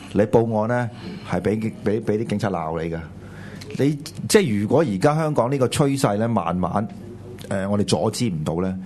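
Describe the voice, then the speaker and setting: Against noticeable background noise, a man with a fairly low pitch speaks at a moderate pace with lively intonation. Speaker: political talk show co-host. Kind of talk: political commentary chat. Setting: studio with live audience.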